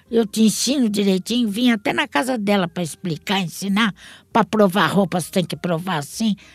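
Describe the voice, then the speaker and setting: A woman speaks at a moderate pace with medium pitch, ordinary pitch variation and a somewhat breathy quality. The recording is very clean, with a silent background and a dry, close sound free of echo. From Santos, Brazil. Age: 70s. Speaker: app ride-hailing driver. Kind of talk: interview.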